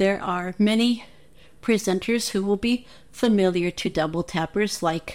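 A woman at a medium pitch, very slow in pace, with ordinary pitch variation. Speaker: listener contributor. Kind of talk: recorded message.

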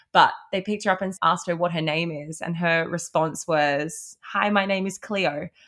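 With an Australian accent, a woman with a fairly low pitch talks at a moderate pace, her intonation fairly even and hardly any pauses breaking her speech. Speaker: podcast co-host. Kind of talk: casual chat. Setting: remote recording over video call.

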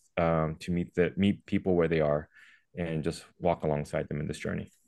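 Against a quiet background, a man with an American accent talks at a fairly quick pace. His pitch is very deep and low, and his intonation fairly even. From Texas. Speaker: missionary and nonprofit worker. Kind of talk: casual interview.

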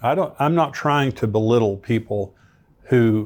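A man speaks in an ordinary speaking voice in a very clean recording with a silent background. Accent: American. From United States. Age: 60s. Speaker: pastor and prophecy teacher, podcast host. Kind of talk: Bible teaching with commentary.

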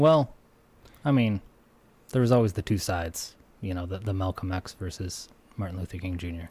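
Speaking at a fairly quick pace with long, frequent pauses, a man with a very deep, low voice has a dark, mellow, somewhat breathy tone and ordinary pitch variation. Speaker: podcast host. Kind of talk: casual banter. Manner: joking, sarcastic.

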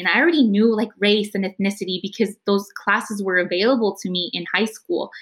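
Speaking at a fairly quick pace with an American accent, a woman uses a normal speaking voice at a medium pitch. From East San Jose, California. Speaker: college student. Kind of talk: panel conversation.

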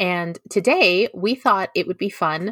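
Speaking at a fairly slow pace, a woman with a plain, everyday voice and medium pitch is recorded dry and close with no echo, in a very clean recording with a silent background. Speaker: podcast host. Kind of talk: casual podcast chat.

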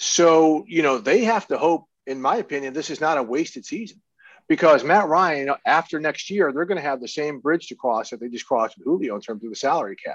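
In an ordinary speaking voice, a man with an American accent talks at a fairly quick pace and fairly high pitch, with lively intonation, big swings in loudness and a quiet background. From Missouri, near St. Louis. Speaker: NFL reporter. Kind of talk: casual interview.

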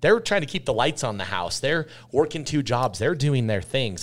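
On a very clean recording with a silent background, a man with an American accent speaks with lively intonation. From Utah. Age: 30s. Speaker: restaurant entrepreneur. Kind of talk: interview.

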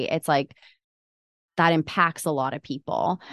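At a moderate pace, a woman with a normal speaking voice talks at a fairly low pitch, with a dry, close sound, no echo and a quiet background. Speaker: podcast co-host. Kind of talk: casual interview chat.

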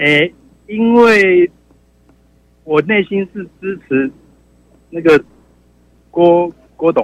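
Very slow and broken by long, frequent pauses, a man's high-pitched voice has ordinary pitch variation and big swings in loudness. The sound is dry and close, with no echo. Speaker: caller. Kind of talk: call-in opinion. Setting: phone call.

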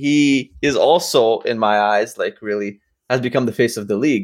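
Lively intonation marks a man's medium-pitched speech, delivered in a plain, everyday voice. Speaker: podcast co-host. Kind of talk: casual chat. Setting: video call.

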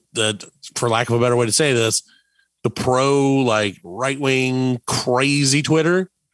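A man's bright, sharp tone with dry, close sound and no echo. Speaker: podcast host. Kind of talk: casual comedic banter, radio-style show. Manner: animated, joking, shock-jock style.

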